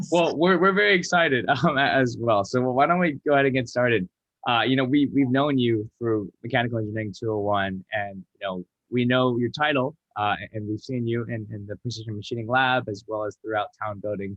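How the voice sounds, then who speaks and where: In an ordinary speaking voice, a man talks at a fairly quick pace with an American accent. His pitch is medium, with ordinary variation. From Atlanta, Georgia, US. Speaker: student host. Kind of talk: interview.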